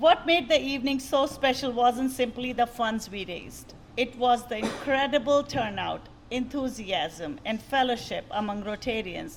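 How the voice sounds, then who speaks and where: A loud, high-pitched woman's voice at a fairly slow pace with ordinary pitch variation and noticeable background noise. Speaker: outgoing club president. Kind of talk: farewell speech. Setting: club meeting in church hall.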